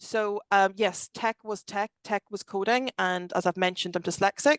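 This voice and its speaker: The delivery moves at a moderate pace. The sound is dry and close, with no echo. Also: woman, medium pitch for a woman. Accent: Belfast. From Northern Ireland, Belfast. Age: 40s. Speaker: tech company director. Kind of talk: podcast interview. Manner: animated.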